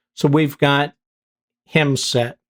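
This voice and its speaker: The speaker talks at a very slow pace. The voice is in a Pittsburgh accent. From US, Pittsburgh. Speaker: gaming youtuber. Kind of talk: gameplay commentary. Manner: casual, conversational with fillers.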